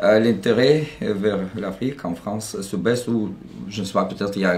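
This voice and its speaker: Fairly slow speech from a man with a fairly low pitch and ordinary pitch variation, plus audible room echo. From Russia. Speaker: university department head. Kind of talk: interview answer. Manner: hesitant.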